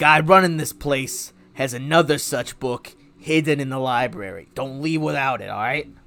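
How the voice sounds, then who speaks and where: A man speaks in a put-on character voice. His pitch is medium and his pace moderate. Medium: actual play. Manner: brash, casual.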